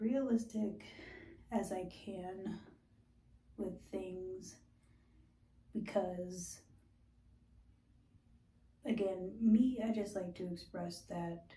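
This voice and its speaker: With audible room echo, a woman talks very slowly in a dark, mellow, somewhat breathy tone, with fairly even intonation and long, frequent pauses. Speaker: skincare vlogger. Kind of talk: casual vlog chat. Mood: candid, reflective. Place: bathroom. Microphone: phone near.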